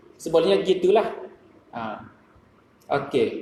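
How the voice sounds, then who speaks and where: A man speaks with a Kelantan accent and very wide pitch swings over noticeable background noise. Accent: Kelantanese Malay. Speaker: dietitian. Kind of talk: mosque talk on nutrition. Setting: mosque.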